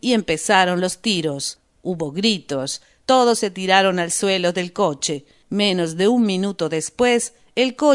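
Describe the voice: Simple, plain reading aloud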